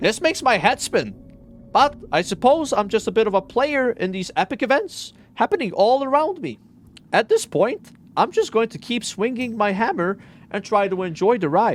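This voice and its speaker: A man does a put-on character voice pitched extremely high. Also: moderate pace. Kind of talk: fantasy character voice. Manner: bemused, resigned, wry.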